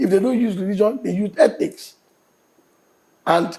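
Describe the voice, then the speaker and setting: Speaking with a Nigerian accent, a man has a dark, mellow tone. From Nigeria, born in Enugu. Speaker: state governor. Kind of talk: TV interview answer.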